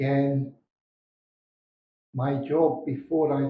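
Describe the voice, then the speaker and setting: Very slow speech from a man with a Scottish accent and a fairly high pitch. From Scotland. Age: 60s. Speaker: retired expat. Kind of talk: interview.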